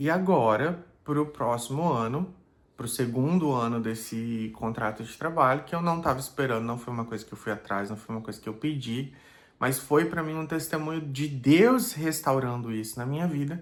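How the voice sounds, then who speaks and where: A man talks with a medium pitch, his pitch varying in an ordinary way as he moves at a moderate pace. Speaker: pastor. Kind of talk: personal video blog. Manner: hesitant, casual.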